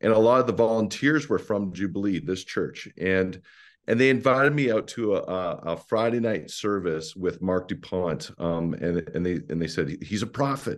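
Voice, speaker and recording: Over a quiet background, a man with a Canadian accent and an unremarkable speaking voice talks at a moderate pace, his fairly low pitch carried by lively intonation. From Ontario, Canada (rural Mennonite community). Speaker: pastor. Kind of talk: interview.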